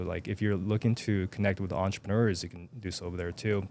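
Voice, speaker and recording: The speaker has a Japanese accent and talks at a very fast pace. Intonation stays fairly even. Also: man. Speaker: self-publishing entrepreneur. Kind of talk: casual interview chat. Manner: occasional stuttering.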